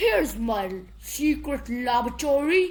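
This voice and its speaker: At a moderate pace, a woman does a squeaky, put-on character voice in a high pitch. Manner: proud.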